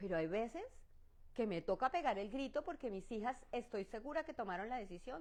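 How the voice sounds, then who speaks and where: Her pitch rises and falls very widely. The woman's tone is animated. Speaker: pastor. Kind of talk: Bible study teaching.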